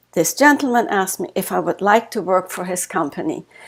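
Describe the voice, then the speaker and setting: At a moderate pace, a woman with a German accent speaks with very wide pitch swings. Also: very clean recording, silent background. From Germany. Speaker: author and life coach. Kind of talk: interview.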